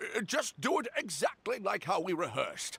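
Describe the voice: A man does a put-on character voice, high in pitch with big pitch swings and a bright, sharp tone. It has a husky, rough edge and vocal fry, delivered at a moderate pace.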